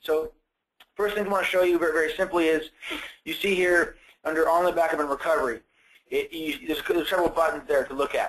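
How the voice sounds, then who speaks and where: At a very fast pace, a man with a high pitch speaks with fairly even intonation and long, frequent pauses. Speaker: sales engineer. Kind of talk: webinar product demo. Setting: online webinar. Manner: halting, repeats words.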